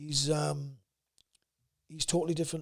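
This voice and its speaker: In a South Wales accent, a man speaks fairly quickly with a fairly high pitch. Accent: South Wales valleys. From Wales, South Wales valleys. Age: 30s. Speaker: amateur fighter. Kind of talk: casual chat. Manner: can sound aggressive.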